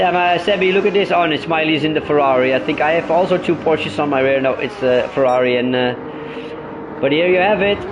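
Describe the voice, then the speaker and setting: Speaking very fast, a man keeps a fairly high pitch and very even loudness. Noticeable background noise and audible room echo surround him. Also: ordinary pitch variation. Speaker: sim racing commentator and driver. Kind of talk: casual chat; live race commentary. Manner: stutters; animated.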